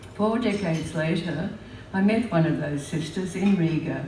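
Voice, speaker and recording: A woman speaks at a moderate pace with a fairly low pitch and ordinary pitch variation. Noticeable background noise and audible room echo are present. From Australia, Melbourne. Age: 80s+. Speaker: memoir storyteller. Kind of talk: reading aloud.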